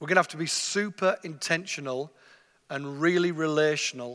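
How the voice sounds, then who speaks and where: A man with an English accent, bright and sharp in tone, fairly high in pitch and fairly quick in pace, in a very clean recording with a silent background. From northeast England. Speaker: mission agency leader, visiting preacher. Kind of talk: sermon. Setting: church stage with masked audience.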